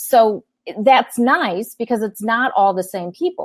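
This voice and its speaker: In a quiet background, a woman with a fairly high pitch and an ordinary speaking voice talks at a fairly slow pace with ordinary pitch variation, the sound dry and close with no echo. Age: 50s. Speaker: business coach and consultant. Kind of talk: interview.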